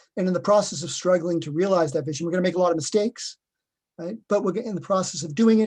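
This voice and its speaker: This man talks with a Boston accent. His pitch is high. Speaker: professor. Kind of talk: webinar Q&A answer.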